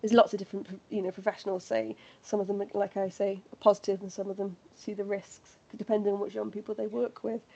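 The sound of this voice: Putting on a character voice, a woman talks at a very fast pace in a hoarse, raspy, medium-pitched tone with fairly even intonation.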